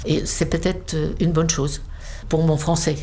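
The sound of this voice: A woman at a fairly slow pace, her tone slightly mellow.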